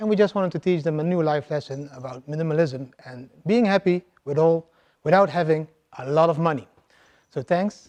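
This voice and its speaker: Pitched fairly high, a man with a Dutch accent speaks at a fairly quick pace, with ordinary pitch variation and big swings in loudness. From Netherlands. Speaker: crypto investor, conference speaker. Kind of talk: conference talk. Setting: stage with audience.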